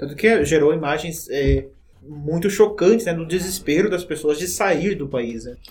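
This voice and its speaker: This is a normal speaking voice at a moderate pace with ordinary pitch variation. Its loudness swings widely. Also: man, fairly high pitch for a man. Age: 20s. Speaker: teacher. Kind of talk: educational podcast chat.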